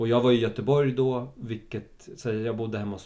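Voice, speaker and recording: At a moderate pace, a man speaks in a dark, mellow tone with vocal fry, a medium pitch and ordinary pitch variation. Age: 30s. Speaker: actor. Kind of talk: casual chat.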